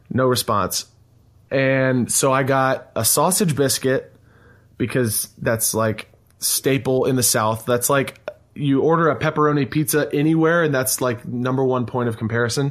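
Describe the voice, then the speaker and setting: A man talks in a normal speaking voice at a medium pitch and moderate pace, with ordinary pitch variation. His loudness stays very even on a very clean recording with a silent background. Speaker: podcast host. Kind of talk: casual chat.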